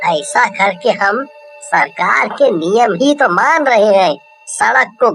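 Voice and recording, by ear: A cartoonish character voice, female-sounding, at a fairly slow pace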